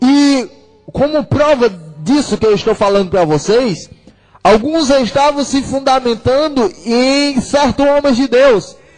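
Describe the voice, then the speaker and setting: A man with an extremely high pitch speaks at a fairly slow pace, his loudness very even and his pitch variation ordinary, while music plays in the background. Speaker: preacher / radio evangelist. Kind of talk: sermon preached on a radio program. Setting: radio broadcast.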